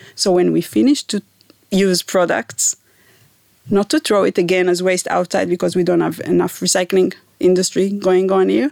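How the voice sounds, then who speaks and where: A woman's medium-pitched voice with an Israeli accent, very even loudness and a moderate pace. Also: dry, close sound with no echo. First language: Hebrew. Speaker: environmental scientist, professor. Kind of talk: interview. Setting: studio.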